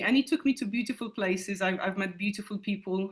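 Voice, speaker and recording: A woman speaks very fast with a Polish accent over noticeable background noise. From Poland. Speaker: teacher. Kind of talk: interview. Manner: halting.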